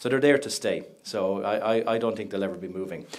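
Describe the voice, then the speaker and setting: A fairly low-pitched man's voice with an Irish accent. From Ireland. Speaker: project management company representative. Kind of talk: conference talk. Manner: animated, conversational.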